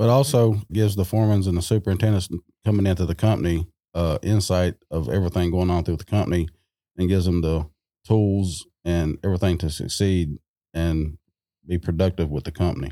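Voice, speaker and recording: A man's very deep, low voice with a dark, mellow tone, ordinary pitch variation and a fairly quick pace, on a very clean, dry, close recording with a silent background and no echo. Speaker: construction superintendent. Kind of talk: casual panel discussion.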